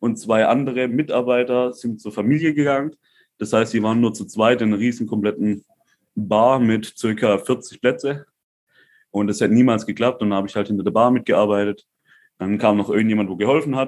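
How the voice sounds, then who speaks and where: A man with a plain, everyday voice talks at a fairly quick pace, at medium pitch with ordinary pitch variation. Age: 20s. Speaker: crypto entrepreneur. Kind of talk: casual chat.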